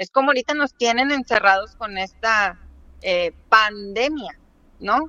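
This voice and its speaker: Fairly slow speech from a woman with a fairly high pitch and ordinary pitch variation. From Mexico, State of Mexico. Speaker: political commentator. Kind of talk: casual interview.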